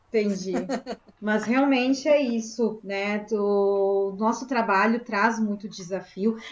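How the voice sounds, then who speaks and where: A woman with a fairly high pitch speaks very slowly, keeping her intonation fairly even. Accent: southern Brazilian. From southern Brazil (Rio Grande do Sul). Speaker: spiritist meeting host. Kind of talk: group discussion.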